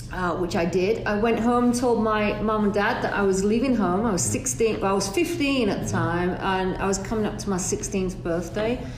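A woman with an English accent at a medium pitch and moderate pace, lively in intonation, amid noticeable background noise. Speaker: hairdressing educator. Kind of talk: interview.

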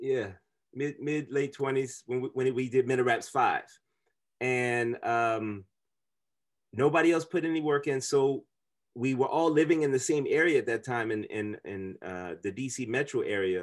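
In an American accent, a man with an unremarkable speaking voice talks at medium pitch with ordinary pitch variation and a fairly slow pace against a quiet background. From US Midwest (Kansas City, Chicago suburbs). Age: 40s. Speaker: musician and university chaplain. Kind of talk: casual chat.

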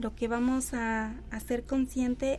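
A woman's high, monotone voice at a very slow pace, with flat intonation and music in the background. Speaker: body-focused therapist. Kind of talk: radio interview. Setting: radio studio.

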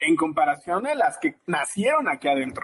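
A man talks with lively intonation, holding a moderate pace. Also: dry, close sound with no echo. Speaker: podcast host. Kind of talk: casual interview chat.

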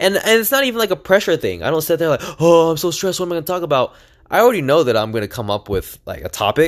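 Loud, intense male voice, high in pitch, with very wide pitch swings. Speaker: podcast host. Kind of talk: solo podcast monologue. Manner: loud, high energy, intense.

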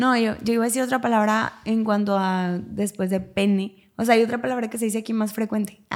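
A woman's fairly high voice, a normal speaking voice, at a fairly quick pace with fairly even intonation and hardly any pauses, in a very clean recording with a silent background. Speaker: podcast co-host. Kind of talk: casual chat.

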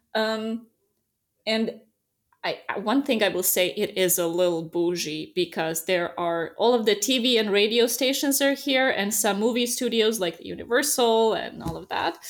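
A woman with a Serbian accent talks at a moderate pace, fairly high in pitch with lively intonation. The recording is very clean, with a silent background. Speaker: relocation business owner, expat. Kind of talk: casual interview.

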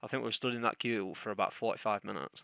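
At a very fast pace, a bright, sharp voice with vocal fry holds a fairly even intonation in a dry, close sound with no echo. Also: man. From England. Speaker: podcast co-host. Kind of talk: casual chat.

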